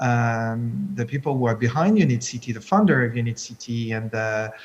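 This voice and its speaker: A man with a French accent speaks at a moderate pace. His pitch is medium, with ordinary variation. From France. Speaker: tech entrepreneur, CEO of an innovation park. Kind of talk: panel discussion. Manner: halting.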